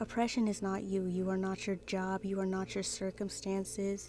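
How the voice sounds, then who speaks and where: There is music in the background as a woman speaks. Her pitch is medium and her pace moderate. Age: 20s. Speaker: artist and spiritual content creator. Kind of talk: casual talk to camera. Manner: emphatic, motivational.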